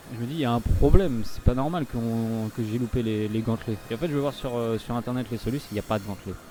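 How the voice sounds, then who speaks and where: A man talks at a very fast pace with hardly any pauses, at medium pitch and with ordinary pitch variation. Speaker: gaming youtuber. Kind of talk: let's play commentary. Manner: halting, many filler sounds.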